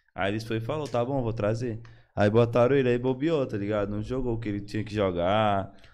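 A man at a fairly quick pace with fairly even intonation, amid audible room echo. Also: medium pitch for a man. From Brazil, Maranhão (São Luís). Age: 20s. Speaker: esports player. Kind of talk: casual chat.

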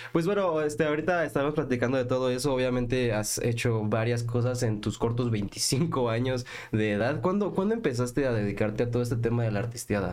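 Speaking with a Mexican accent at a fairly quick pace, a man keeps a very even loudness, a medium pitch, ordinary pitch variation and hardly any pauses. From Mexico. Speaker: podcast host. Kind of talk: interview.

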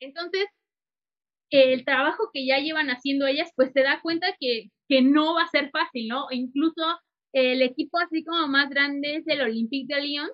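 Her voice is high in pitch, and the woman speaks at a moderate pace with ordinary pitch variation. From Mexico. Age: 20s. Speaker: sports journalist. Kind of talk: casual interview.

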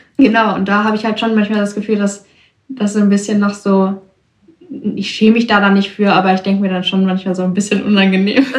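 A woman speaks at a very fast pace, her intonation flat and monotone. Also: medium pitch for a woman. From Germany, Ruhr area (Bochum). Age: 20s. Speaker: young woman guest. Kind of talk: interview.

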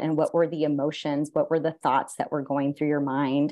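A woman with a very deep, low voice and a Californian accent. Her tone is dark and mellow. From San Jose, California. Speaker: photographer and university program director. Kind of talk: interview conversation.

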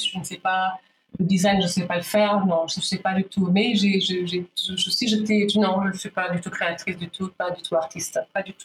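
In a flat, monotone delivery, this woman holds a mid-range pitch. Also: moderate pace, big swings in loudness. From DR Congo, Kinshasa. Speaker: fashion event founder. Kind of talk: interview. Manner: halting.

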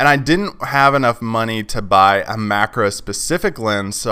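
The background is silent and the recording very clean. A man talks in a bright, sharp tone. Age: 30s. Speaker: podcast host and landscape photographer. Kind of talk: casual solo podcast monologue. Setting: at home doing laundry. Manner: casual, conversational with many fillers.

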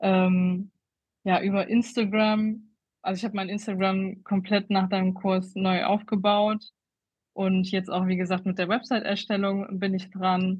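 A woman's somewhat breathy, medium-pitched voice at a very slow pace, with long, frequent pauses and a monotone, flat intonation. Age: 30s. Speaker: make-up artist. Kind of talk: interview. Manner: halting, many fillers.

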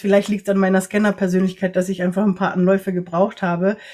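Her pitch is medium for a woman. She speaks with monotone, flat intonation. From Latin America (Ecuador, Nicaragua, Costa Rica) and Germany. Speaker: energy worker and coach for empaths. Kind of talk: interview conversation.

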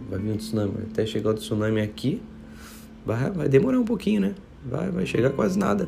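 The man moves at a fairly quick pace but leaves long, frequent pauses. Audible room echo surrounds his voice. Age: 20s. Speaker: pastor. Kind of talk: devotional sermon. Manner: casual, conversational.

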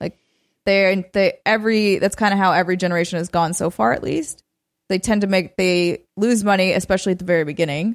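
With a fairly quick pace and ordinary pitch variation, a woman speaks in an unremarkable speaking voice. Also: medium pitch for a woman, very clean recording, silent background. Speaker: video game podcast co-host. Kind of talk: casual chat.

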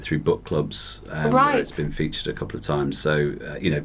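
A man with a very deep, low voice talks at a fairly quick pace over noticeable background noise. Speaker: novelist, guest author.

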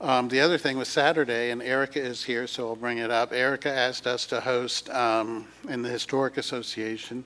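The delivery moves at a moderate pace. Its intonation stays monotone and flat. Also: man. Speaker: council member. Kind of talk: public meeting.

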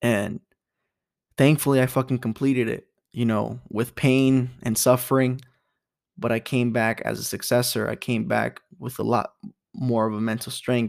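A man speaks at a moderate pace and medium pitch, his intonation monotone and flat, with long, frequent pauses. The recording is very clean, with a silent background. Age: 20s. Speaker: podcast host. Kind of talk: casual personal monologue. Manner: halting, many fillers.

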